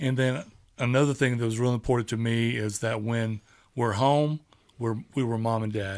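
Fairly even intonation with an American accent, at a moderate pace. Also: man, medium pitch for a man. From Texas. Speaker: parent of the hosts. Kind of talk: casual family conversation.

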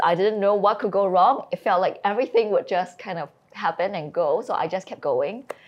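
Against noticeable background noise, a woman talks at a fairly quick pace in a medium pitch. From Singapore. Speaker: business founder and CEO. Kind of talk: interview.

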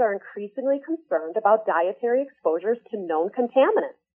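Delivered at a moderate pace, a plain, everyday voice shows ordinary pitch variation. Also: woman. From northern Michigan, US. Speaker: nonprofit executive director. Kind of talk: radio interview.

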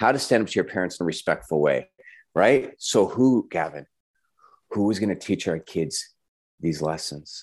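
Against a quiet background, a man with an American accent speaks in a fairly low voice at a moderate pace, using lively intonation and long, frequent pauses. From Southern California, San Diego. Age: 40s. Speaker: family coach. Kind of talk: casual interview. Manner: animated.

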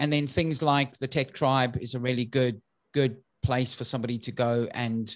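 A man with a South African accent speaks at a moderate pace. His pitch is medium and his intonation fairly even. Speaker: IT business consultant. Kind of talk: interview. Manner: halting.

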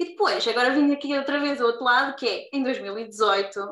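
A raised, projected voice at a fairly quick pace, with ordinary pitch variation. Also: woman. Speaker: podcast host and nurse. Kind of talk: casual interview.

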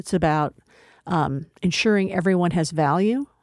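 In an ordinary speaking voice with an American accent, a woman talks at a moderate pace with a fairly low pitch and ordinary pitch variation, in a very clean recording with a silent background. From Texas. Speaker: community college president. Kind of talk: interview.

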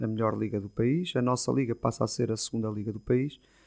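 Fairly quick male speech, its intonation fairly even. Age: 40s. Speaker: football coach. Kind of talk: interview. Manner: halting, with repeated words.

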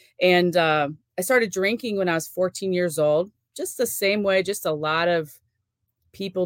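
Speaking at a moderate pace, a woman with an unremarkable speaking voice uses a fairly low pitch and ordinary pitch variation. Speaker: nurse and youth sports event organizer. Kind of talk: casual interview.

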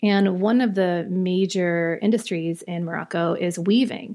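A woman's unremarkable speaking voice, medium in pitch with fairly even intonation, on a very clean recording with a silent background. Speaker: visual artist and art professor. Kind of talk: casual interview chat.

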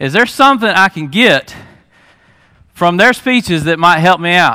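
With a bright, sharp, animated tone, a man talks fairly quickly at a high pitch. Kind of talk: testimony. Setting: church with audience. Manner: casual, conversational and animated, joking with the crowd; earnest, storytelling preacher style with "man" fillers.

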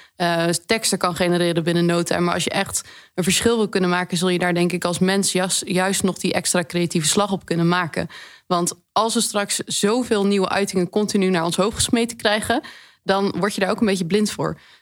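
A woman with a plain, everyday voice, medium pitch, fairly even intonation, very even loudness and a fairly quick pace, on a very clean recording with a silent background. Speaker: data specialist. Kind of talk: expert discussion.

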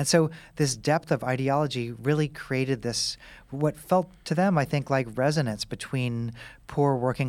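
A man speaks at a moderate pace with an American accent, in an ordinary speaking voice. The recording is very clean, with a silent background. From US Midwest, Kansas City. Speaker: author and medical professor. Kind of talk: interview.

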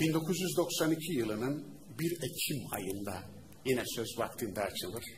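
A somewhat breathy man's voice at a very slow pace, pitch swinging very widely, amid audible room echo. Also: medium pitch for a man. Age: 40s. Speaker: Islamic preacher and teacher. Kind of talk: religious lecture. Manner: animated.

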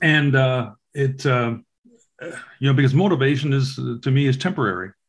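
Speaking in an unremarkable speaking voice, a man moves at a moderate pace with ordinary pitch variation. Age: 60s. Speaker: podcast host. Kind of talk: casual interview chat.

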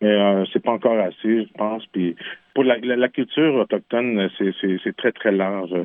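Speaking fairly slowly in a Quebec accent, a man uses a fairly low pitch with ordinary pitch variation. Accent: Québécois French. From Quebec, Innu nation. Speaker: singer-songwriter. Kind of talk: radio interview. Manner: halting, frequent repetitions.

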